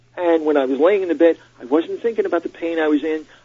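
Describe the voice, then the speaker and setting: A fairly high-pitched man talks very fast while background noise is clearly audible. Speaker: stand-up comedian. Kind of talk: radio interview, telling a personal story. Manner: animated, conversational.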